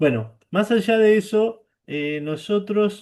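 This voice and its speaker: The voice belongs to a man. Its pitch moves in a typical way. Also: quiet background. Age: 60s. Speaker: service club member and blood donor. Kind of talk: testimony at online training. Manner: halting, with fillers.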